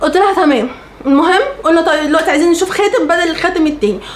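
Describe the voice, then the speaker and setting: Amid noticeable background noise and audible room echo, a woman talks at a fairly quick pace in an animated tone with an extremely high pitch. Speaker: lifestyle vlogger. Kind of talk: storytelling vlog.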